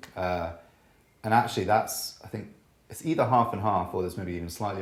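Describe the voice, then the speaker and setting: A man's very deep, low voice, somewhat breathy, with ordinary pitch variation and audible room echo. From Scotland. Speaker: jazz double bassist. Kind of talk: casual interview chat.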